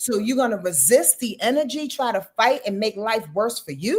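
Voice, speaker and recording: A woman talks in an animated tone with lively intonation. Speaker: astrologer. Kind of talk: casual chat. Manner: fast.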